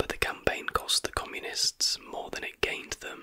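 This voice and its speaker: A soft-spoken man is whispering. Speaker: history content creator. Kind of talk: casual narration of trivia. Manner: soft close-mic ASMR whisper. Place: home room. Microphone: studio mic.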